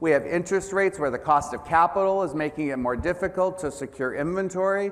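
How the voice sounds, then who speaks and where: Very fast and high-pitched, a man with an American accent talks with ordinary pitch variation. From United States. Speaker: business executive, keynote speaker. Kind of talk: conference keynote. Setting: stage with audience.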